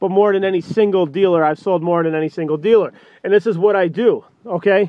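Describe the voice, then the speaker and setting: Against a quiet background, a man with a high voice speaks very fast in fairly even intonation, the sound dry with no echo. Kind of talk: sales walkaround commentary. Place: car. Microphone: phone near.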